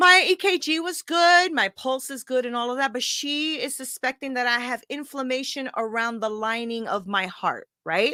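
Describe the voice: A woman talks at a high pitch and a moderate pace with few pauses, her tone bright and sharp. The sound is dry and close, with no echo. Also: ordinary pitch variation.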